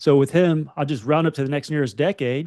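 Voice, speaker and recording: With a Southern accent, a man talks at a fairly quick pace and a fairly high pitch. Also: quiet background. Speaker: financial podcast co-host. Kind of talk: casual chat.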